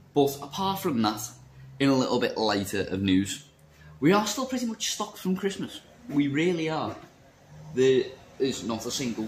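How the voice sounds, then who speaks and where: A man at a fairly slow pace with very wide pitch swings, over light background noise. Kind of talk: casual vlog chat. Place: shop. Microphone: phone near.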